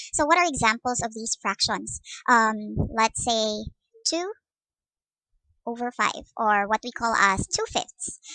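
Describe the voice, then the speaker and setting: A woman with a Visayan Filipino accent and a fairly high pitch speaks at a fairly slow pace with long, frequent pauses, her tone bright and sharp, her pitch variation ordinary, and the sound dry and close with no echo. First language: Cebuano (Bisaya). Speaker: math teacher. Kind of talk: lecture. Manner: hesitant with fillers.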